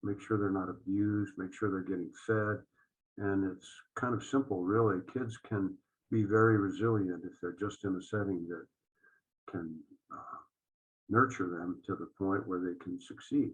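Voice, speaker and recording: At a moderate pace, a man with a fairly low pitch and fairly even intonation speaks with long, frequent pauses. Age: 60s. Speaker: judge. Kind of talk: interview.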